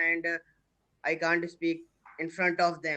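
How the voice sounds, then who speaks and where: The tone here is bright and sharp. A man delivers it at a moderate pace. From India, Uttar Pradesh. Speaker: English learner. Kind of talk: casual chat. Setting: video call. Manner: halting.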